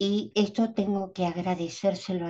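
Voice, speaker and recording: The woman's voice sits at medium pitch, somewhat breathy, with a dark, mellow tone. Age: 70s. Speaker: doula and speaker at a symposium. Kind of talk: conference talk. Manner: hesitant, with fillers.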